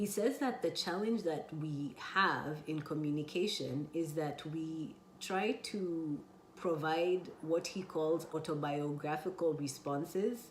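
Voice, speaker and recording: Someone speaks at a very slow pace with ordinary pitch variation. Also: woman, very deep, low pitch for a woman. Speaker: holistic health and life coach. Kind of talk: casual talk to camera.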